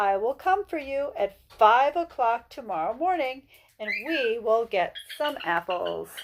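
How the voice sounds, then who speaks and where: A put-on character voice is used here. It moves at a fairly slow pace. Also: female-sounding voice, high pitch for a woman. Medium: read story.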